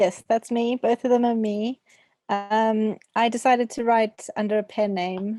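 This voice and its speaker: A woman's fairly high voice, dark and mellow in tone, with monotone, flat intonation. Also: fairly slow pace, dry, close sound with no echo. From South Africa. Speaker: debut novelist. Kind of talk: video call interview.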